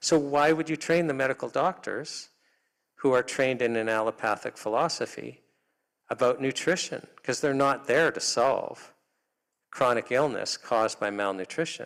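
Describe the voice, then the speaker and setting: In a normal speaking voice, a man with a Canadian accent talks at a moderate pace, his pitch fairly high with ordinary variation, on a very clean recording with a silent background. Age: 60s. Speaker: health freedom advocate. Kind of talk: public talk.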